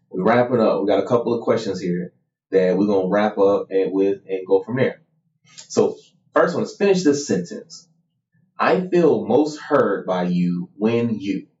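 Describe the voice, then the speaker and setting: A man speaks in an unremarkable speaking voice, medium in pitch, with lively intonation at a moderate pace. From Missouri, US. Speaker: podcast co-host, married couple. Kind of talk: casual conversation between spouses.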